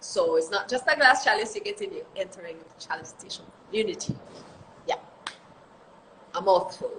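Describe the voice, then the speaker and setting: Over noticeable background noise, a woman with a high pitch uses very wide pitch swings, big swings in loudness and long, frequent pauses. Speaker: reggae singer. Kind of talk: interview. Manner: fast.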